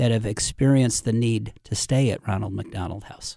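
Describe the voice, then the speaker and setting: The voice has a dark, mellow tone. It carries a slight Midwestern accent. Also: man. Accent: slight Midwest American. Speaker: nonprofit CEO. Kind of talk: casual interview. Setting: studio.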